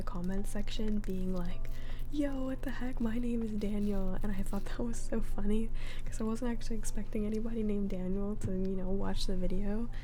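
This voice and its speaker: A soft-spoken woman with a medium pitch talks at a moderate pace. Her intonation is fairly even, with noticeable background noise behind her. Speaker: ASMR creator. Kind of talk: casual talk to camera.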